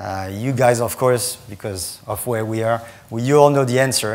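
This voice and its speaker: A man with a French accent at medium pitch, with ordinary pitch variation and a moderate pace, amid noticeable background noise and audible room echo. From France. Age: 40s. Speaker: startup founder and CEO. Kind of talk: conference talk.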